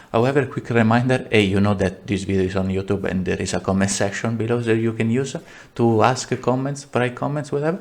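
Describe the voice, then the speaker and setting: In an Italian accent, a man speaks at a medium pitch with ordinary pitch variation. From Italy. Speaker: game developer and tutorial maker; tutorial maker. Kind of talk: tutorial. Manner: halting, many fillers and repeats; casual, animated. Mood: self-deprecating, relaxed.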